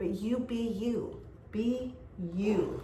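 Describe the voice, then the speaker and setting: Loud and animated, the voice has lively intonation, with audible room echo and noticeable background noise. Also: woman. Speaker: tarot reader. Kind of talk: tarot reading. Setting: indoor room.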